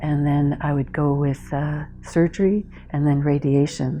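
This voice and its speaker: A woman with a Canadian accent and a very deep, low pitch, music in the background. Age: 60s. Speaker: cancer survivor, retired anthropologist. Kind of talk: testimony. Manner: hesitant, with many fillers.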